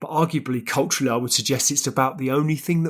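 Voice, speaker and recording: With a British accent, a man speaks at a fairly high pitch on a very clean recording with a silent background. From UK. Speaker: podcast host. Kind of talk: interview. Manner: formal.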